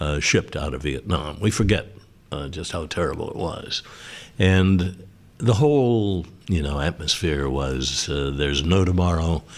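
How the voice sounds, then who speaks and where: A man with a very deep, low pitch and vocal fry speaks at a moderate pace. His intonation is lively. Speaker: news anchor. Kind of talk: interview answer.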